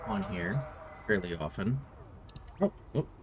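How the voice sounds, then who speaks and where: Over noticeable background noise, a man talks at a fairly slow pace with very wide swings in pitch. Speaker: video game streamer. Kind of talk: casual live-stream chat. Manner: soft-spoken; halting.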